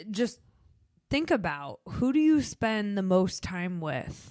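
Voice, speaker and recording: A woman with a Chicago accent is heard on a very clean recording with a silent background. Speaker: podcast co-host. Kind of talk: casual podcast chat.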